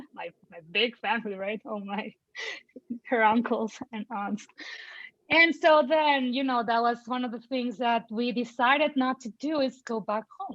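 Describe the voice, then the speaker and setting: Her loudness swings widely from moment to moment. The woman's pitch is high and her pace fairly slow. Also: ordinary pitch variation. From Mexico. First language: Spanish. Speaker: parent of a child in early intervention. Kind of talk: panel conversation.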